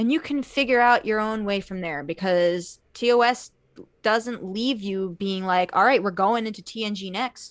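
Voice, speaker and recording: This woman has an ordinary speaking voice, medium pitch and ordinary pitch variation. She talks at a moderate pace in a very clean recording with a silent background. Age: 20s. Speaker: podcast guest, Star Trek fan. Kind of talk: casual chat.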